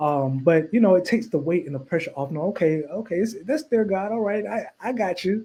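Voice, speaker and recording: Speaking at a high pitch, a man uses lively intonation. His pace is fairly quick, with hardly any pauses. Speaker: singer and minister. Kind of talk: interview. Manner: halting, many repeated words.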